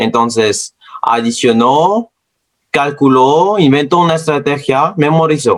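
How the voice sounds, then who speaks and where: A man with a non-native accent talks at a very slow pace. His pitch is fairly high and his intonation lively. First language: not Spanish (speaking Spanish). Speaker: science educator. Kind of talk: educational talk. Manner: halting.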